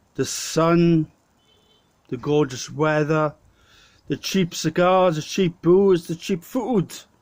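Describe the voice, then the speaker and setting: A man with a South Wales accent, fairly high in pitch, at a very slow pace. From Wales, Swansea. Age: 30s. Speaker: vlogger. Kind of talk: casual storytelling. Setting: pub. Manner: halting.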